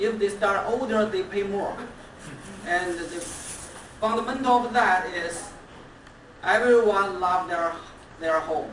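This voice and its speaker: A woman with a non-native accent speaks at a medium pitch, fairly slowly, with long, frequent pauses and ordinary pitch variation. Noticeable background noise and audible room echo fill the recording. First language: Chinese. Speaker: toastmasters club member. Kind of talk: anniversary speech. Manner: halting.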